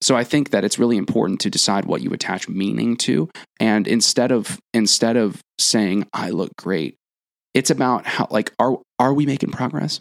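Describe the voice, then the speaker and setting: A man speaks at a moderate pace with lively intonation and vocal fry. The sound is dry and close, with no echo. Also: medium pitch for a man. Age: 20s. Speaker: podcast co-host, former personal trainer. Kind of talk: casual chat.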